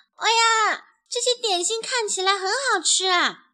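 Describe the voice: A woman performs a put-on character voice at an extremely high pitch, her tone bright and sharp, moving at a fairly slow pace. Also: ordinary pitch variation.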